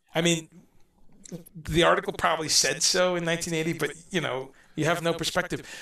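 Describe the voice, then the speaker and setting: Here a man speaks at a fairly quick pace with a high pitch and a bright, sharp tone, yet his intonation stays monotone and flat. Long, frequent pauses break up his speech on a very clean recording with a silent background. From Guyana. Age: 50s. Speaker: musician and guest. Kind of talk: casual interview chat. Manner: halting, many false starts.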